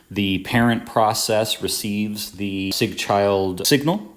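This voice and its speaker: A man speaks at a very slow pace, his pitch fairly low. Noticeable background noise runs underneath. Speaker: tutor. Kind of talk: tutorial. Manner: casual with many fillers.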